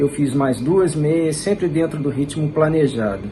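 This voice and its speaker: Noticeable background noise accompanies a man who speaks at a fairly slow pace, his fairly high pitch showing ordinary variation. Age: 50s. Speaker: amateur runner. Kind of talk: testimonial.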